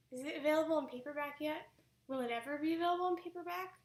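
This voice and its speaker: Someone talks at a very fast pace. The pitch varies in an ordinary way. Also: woman. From Canada. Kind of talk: live-stream Q&A. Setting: live stream at home.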